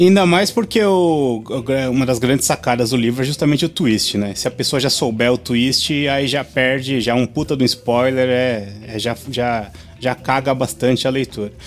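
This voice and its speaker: Ordinary pitch variation from a man at a moderate pace, noticeable background noise behind him. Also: medium pitch for a man, hardly any pauses. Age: 40s. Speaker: podcast co-host. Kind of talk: casual chat.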